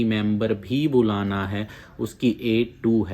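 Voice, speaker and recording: This man's voice sits fairly low in pitch. His intonation is fairly even. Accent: Punjabi. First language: Punjabi (speaking Hindi). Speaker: immigration advice YouTuber. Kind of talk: informational video talk. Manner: casual, conversational.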